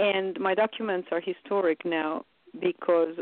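An ordinary speaking voice proceeds at a moderate pace. The intonation remains fairly even. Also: woman. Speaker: UN event producer. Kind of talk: interview.

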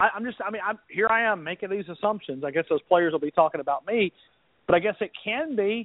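This man speaks at a very fast pace in an Alabama accent. His pitch is high and his intonation lively. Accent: Alabama Southern US. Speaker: sports radio contributor. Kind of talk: casual chat.

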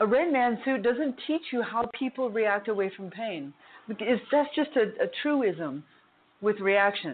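A woman's plain, everyday voice, fairly high in pitch, with lively intonation at a fairly slow pace. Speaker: martial arts instructor and massage therapist. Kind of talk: casual chat. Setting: phone call.

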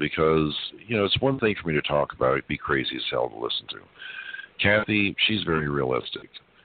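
Very deep, low-pitched man with an American accent, very wide pitch swings and a fairly quick pace, over noticeable background noise. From US South. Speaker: energy healer. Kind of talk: interview. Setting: phone call.

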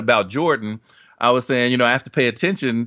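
A man's voice sits at medium pitch. He talks at a very fast pace. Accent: American. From US Midwest (Dayton, Ohio). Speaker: basketball analytics writer. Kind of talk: casual chat. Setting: podcast recording.

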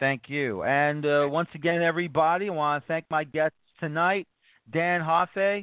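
The speaker is a man with an American accent and a fairly high pitch. He keeps a moderate pace. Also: very even loudness. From New York City, the Bronx. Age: 40s. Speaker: soccer podcast host. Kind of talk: casual interview. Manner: animated.

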